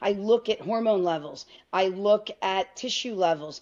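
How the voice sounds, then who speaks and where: A woman speaks at a moderate pace with an American accent. Her intonation is fairly even, and the background is quiet. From New York. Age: 50s. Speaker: physician (OB-GYN); interview guest. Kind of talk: interview. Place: home room. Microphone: video call.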